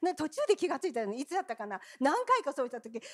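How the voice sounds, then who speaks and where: With an animated tone, a woman speaks at a high pitch using very wide pitch swings, the sound dry and close with no echo. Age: 70s. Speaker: pastor. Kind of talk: sermon. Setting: church.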